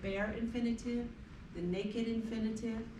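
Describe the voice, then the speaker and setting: In an American accent, a woman speaks at a moderate pace with monotone, flat intonation. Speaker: English teacher. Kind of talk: classroom lecture. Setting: classroom.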